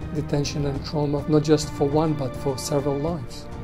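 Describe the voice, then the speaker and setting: A man's fairly high voice at a moderate pace, with clear music in the background. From Bosnia. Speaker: war and concentration camp survivor. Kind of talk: interview answer. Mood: serious, reflective. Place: office.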